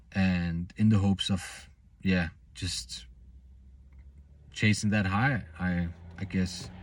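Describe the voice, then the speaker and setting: A man with a non-native accent, very deep and low-pitched, at a very slow pace with long, frequent pauses, on a very clean recording with a silent background. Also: ordinary pitch variation. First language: not English. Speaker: self-improvement vlogger. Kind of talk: personal vlog monologue. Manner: halting, many false starts.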